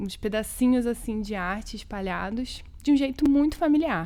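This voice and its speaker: Fairly slow speech from a woman amid audible room echo. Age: 20s. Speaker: poet and educator, cultural worker. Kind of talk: interview conversation. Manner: casual, colloquial.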